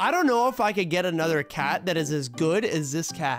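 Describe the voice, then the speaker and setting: A man's voice with a dry sound, no echo, and clear music in the background. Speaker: live streamer. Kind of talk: casual live stream chat and game commentary. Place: home room. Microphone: studio mic.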